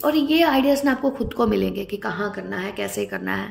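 Vocal fry runs through this fairly quick delivery with lively intonation. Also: woman, medium pitch for a woman.

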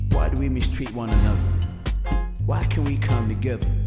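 With loud music playing in the background, a man speaks at a moderate pace. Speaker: spoken word artist. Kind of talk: spoken word poetry performance. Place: studio.

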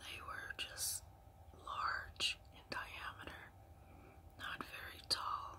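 A woman whispering at a very slow pace with long, frequent pauses. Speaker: ASMR storyteller. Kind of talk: ASMR storytelling. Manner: soft-spoken. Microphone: phone near.

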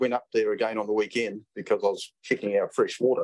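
The speaker has a New Zealand accent. The background is quiet. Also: man. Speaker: committee chair. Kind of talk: formal meeting chairing. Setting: council meeting room. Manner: hesitant, many fillers. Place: meeting room. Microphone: podium.

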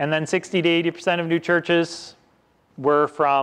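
Speaking in an Upper Midwest accent, a man has a high pitch. His pace is very slow. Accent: Upper Midwest American. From Western Wisconsin. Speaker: pastor. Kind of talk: sermon. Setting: church. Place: church.

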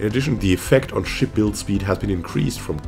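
Music runs in the background as a man talks at a very fast pace. His fairly low pitch shows ordinary pitch variation. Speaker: gaming YouTuber. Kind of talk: patch notes reading.

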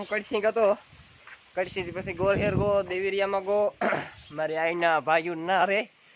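Intonation stays fairly even throughout. Noticeable background noise sits behind the voice. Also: man, high pitch for a man. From Gujarat, Saurashtra (Junagadh district). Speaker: dairy farmer vlogger. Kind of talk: casual vlog narration.

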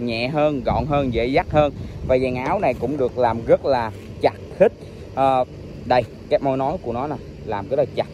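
Over light background noise, a man speaks at a moderate pace with ordinary pitch variation and long, frequent pauses, in a dry sound with no echo. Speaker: scooter reviewer. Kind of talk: product walkaround commentary. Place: street. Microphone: phone near.

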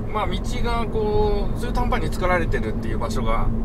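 A man speaks over loud background noise. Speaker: driver vlogger. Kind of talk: casual driving vlog narration. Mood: relaxed, mildly weary. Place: car.

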